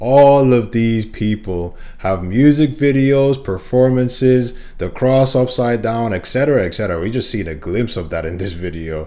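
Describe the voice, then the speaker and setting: Noticeable background noise fills the clip. Through it, a man's lively intonation moves along at a moderate pace. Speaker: reaction video host. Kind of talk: casual reaction commentary.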